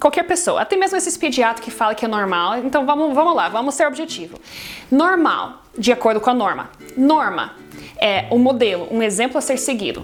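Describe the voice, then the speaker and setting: Noticeable background noise sits behind a woman talking at a fairly quick pace. Her high voice swings very widely in pitch. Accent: non-native. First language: not Portuguese (speaking Portuguese). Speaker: foster parent and baby care vlogger. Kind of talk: casual talk to camera. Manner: halting, many fillers and restarts.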